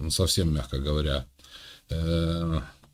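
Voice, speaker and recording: A man with a very deep, low voice speaks at a very slow pace. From Ukraine. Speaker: video chat streamer. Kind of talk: casual chat.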